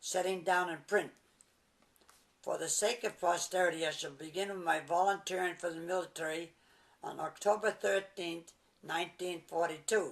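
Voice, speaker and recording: A man's high-pitched voice with an American accent, moderate pace and fairly even intonation. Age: 80s+. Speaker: war veteran. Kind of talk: reading aloud. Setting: at his home. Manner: halting.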